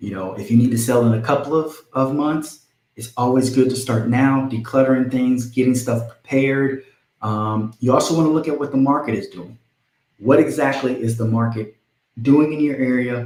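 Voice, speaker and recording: A man's unremarkable speaking voice at medium pitch, fairly even intonation and a moderate pace. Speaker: real estate agent. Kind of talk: live stream tutorial. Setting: live stream.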